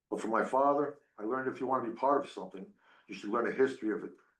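A man's fairly bright voice at a fast pace, with ordinary pitch variation and audible room echo

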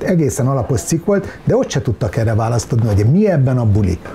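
Light background noise is present. The man's pace is fairly quick. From Hungary. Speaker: podcast co-host; talk show co-host. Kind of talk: casual chat. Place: home room.

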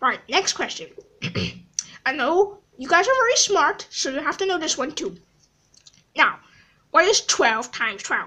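A woman in a put-on character voice, extremely high-pitched, talking at a moderate pace with very wide pitch swings and long, frequent pauses. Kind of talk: comic overacting. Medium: machinima. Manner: bossy, threatening, flustered.

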